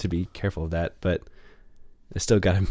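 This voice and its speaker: A man talks at a very fast pace in a somewhat breathy voice. The recording is very clean, with a silent background. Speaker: podcast co-host. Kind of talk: casual chat.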